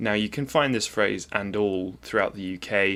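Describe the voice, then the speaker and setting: Speaking at a moderate pace, a man with a fairly low pitch and a bright, sharp tone is heard on a very clean recording with a silent background. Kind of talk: video essay narration.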